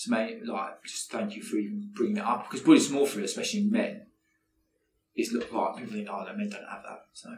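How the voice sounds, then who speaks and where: Very fast male speech with big swings in loudness. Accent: southern English. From Buckinghamshire, England. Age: 30s. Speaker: entrepreneur. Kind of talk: interview.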